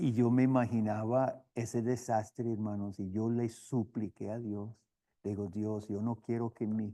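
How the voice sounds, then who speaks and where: Speaking at a very slow pace, a man with a medium pitch and a dark, mellow tone keeps his intonation fairly even and has a slight non-native accent. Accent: slight foreign accent in Spanish. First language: not Spanish, learned as missionary (speaking Spanish). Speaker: seminary professor and missionary. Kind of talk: lecture. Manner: halting, with repetitions.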